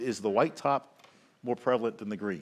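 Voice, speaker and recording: A man speaks with a Southern US accent at a moderate pace. His pitch is medium, with ordinary variation. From US South. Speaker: capitol tour guide. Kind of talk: live event commentary.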